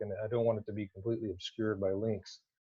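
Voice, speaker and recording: A man speaks at a very fast pace and medium pitch. His voice is somewhat breathy. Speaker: academic researcher. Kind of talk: conference presentation. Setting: virtual conference talk.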